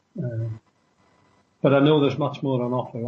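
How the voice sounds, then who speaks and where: Speaking in a normal speaking voice, a man keeps a medium pitch and fairly even intonation. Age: 60s. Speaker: former security worker and traveler. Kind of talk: interview. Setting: radio show.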